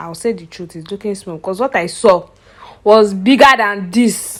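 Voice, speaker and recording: A woman with a Nigerian accent speaks in an animated tone at a medium pitch, with ordinary pitch variation. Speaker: vlogger. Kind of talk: casual vlog talk.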